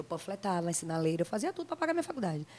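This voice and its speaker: A woman's animated tone on a very clean recording with a silent background. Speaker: pagode singer. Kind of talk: casual interview. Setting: studio.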